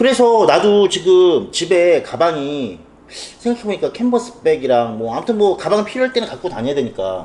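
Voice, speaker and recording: A man's high-pitched voice with very wide pitch swings over noticeable background noise. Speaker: fashion channel host. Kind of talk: casual chat. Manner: fast.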